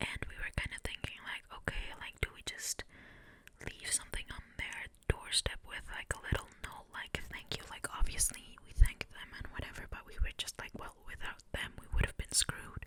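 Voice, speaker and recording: Whispering at a moderate pace, a woman makes big swings in loudness against noticeable background noise. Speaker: ASMR creator. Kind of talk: ASMR whispered storytelling to camera. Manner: close-mic whispering, chatty.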